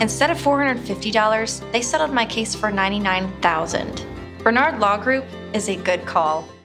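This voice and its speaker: The speaker talks at a fairly quick pace. Clear music plays in the background. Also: woman. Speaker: voice actor. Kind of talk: TV commercial read.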